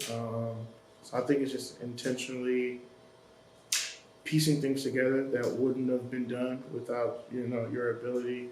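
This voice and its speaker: A man at a medium pitch speaks in a monotone with flat intonation at a moderate pace, leaving long, frequent pauses. Audible room echo surrounds his voice. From Detroit, Michigan, US. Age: 20s. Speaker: college student, photographer and curator. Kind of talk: casual interview.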